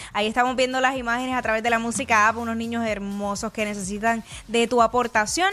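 Upbeat and animated, a woman talks at a very fast pace in a Puerto Rican accent. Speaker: radio host. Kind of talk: radio DJ patter, live morning show banter with promos and news. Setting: radio studio, live broadcast. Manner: fast, upbeat, animated, jokey with co-host, Puerto Rican radio energy.

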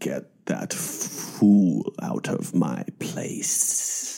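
A man's put-on character voice, fairly low in pitch. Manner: sinister, menacing.

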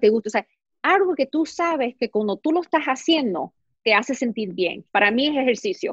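A woman speaks at a fairly quick pace with a fairly high pitch and lively intonation. The sound is dry and close, with no echo. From US, New York. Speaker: fashion and beauty blogger, actress. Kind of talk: casual interview. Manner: animated, talks with hands.

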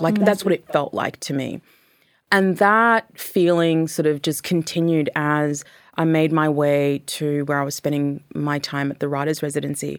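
On a very clean recording with a silent background, the words come at a moderate pace. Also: woman, very deep, low pitch for a woman, ordinary pitch variation. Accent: Australian. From Australia. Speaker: author and magazine contributor. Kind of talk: interview.

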